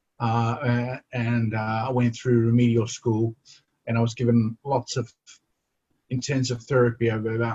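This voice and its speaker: The recording is dry and close with no echo, capturing a man's somewhat breathy, medium-pitched voice at a fairly slow pace in a monotone, flat intonation. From South Africa, KwaZulu-Natal. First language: Zulu. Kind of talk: interview conversation. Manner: halting, many repetitions and fillers.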